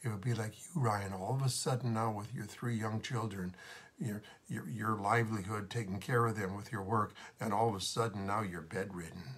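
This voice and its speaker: Somewhat breathy, a man speaks with a fairly low pitch and ordinary pitch variation. His pace is moderate. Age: 70s. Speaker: pastor. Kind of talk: devotional talk. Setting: video recording. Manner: halting.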